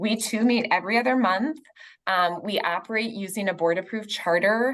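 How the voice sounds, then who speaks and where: Speaking at a moderate pace, a woman uses a plain, everyday voice with ordinary pitch variation. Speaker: foundation staff member. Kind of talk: presentation.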